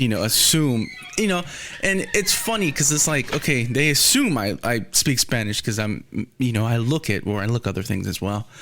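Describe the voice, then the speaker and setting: A man with an American accent speaks at a medium pitch. His intonation is lively and his loudness very even. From Texas. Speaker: podcast host. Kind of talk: casual chat.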